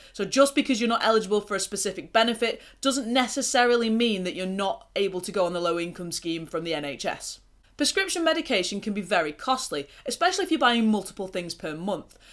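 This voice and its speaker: A woman with an English accent, very fast pace, medium pitch and very wide pitch swings, on a very clean recording with a silent background. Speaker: mental health vlogger. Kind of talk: casual talk to camera. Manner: pausing often.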